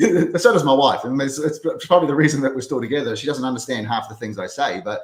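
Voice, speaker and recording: His pitch moves in an ordinary way. The man speaks very fast. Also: fairly high pitch for a man. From New Zealand. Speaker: real estate brokerage developer and coach. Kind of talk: casual interview chat.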